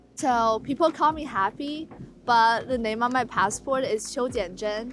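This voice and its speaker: A woman's fairly high voice in a Chinese accent, at a moderate pace with ordinary pitch variation. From China. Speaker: college student. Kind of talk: documentary interview.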